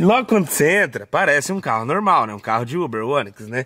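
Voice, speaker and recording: A man speaks with very wide swings in pitch. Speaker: vlogger. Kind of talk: casual vlog chat. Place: garage. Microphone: phone near.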